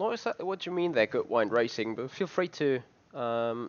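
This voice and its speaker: Very wide pitch swings at a moderate pace from a man with a non-native accent. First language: not English. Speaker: sim racing channel host. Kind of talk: product unboxing review. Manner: halting, many fillers.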